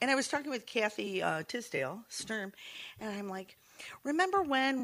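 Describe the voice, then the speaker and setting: A woman with an American accent talks at a moderate pace, using vocal fry and very wide pitch swings. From Saugatuck, Michigan. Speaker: bookshop owner, guest co-host. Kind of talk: casual chat.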